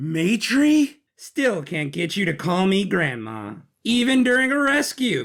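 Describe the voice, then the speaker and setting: A man performs a put-on character voice, high in pitch. He swings very widely in pitch at a fairly slow pace. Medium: audio drama. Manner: brisk, dry.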